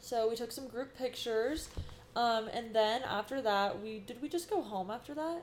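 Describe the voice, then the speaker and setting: A woman with an American accent speaks in an unremarkable speaking voice at a fairly high pitch. Her pitch varies in an ordinary way, and her pace is moderate. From US West, Sacramento area. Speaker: esthetician and instructor, podcast co-host. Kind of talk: casual chat. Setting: studio.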